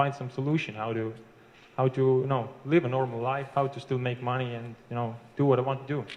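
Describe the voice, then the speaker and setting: With an Estonian accent, a man talks at a fairly quick pace and medium pitch in a monotone, flat intonation. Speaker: internet marketer. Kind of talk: interview. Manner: halting.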